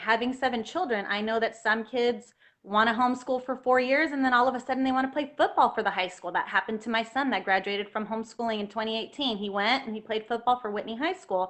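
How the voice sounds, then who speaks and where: A woman talks very fast at a fairly high pitch, with ordinary pitch variation and hardly any pauses. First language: Spanish. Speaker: health freedom activist, homeschooling mother. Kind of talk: interview on livestream.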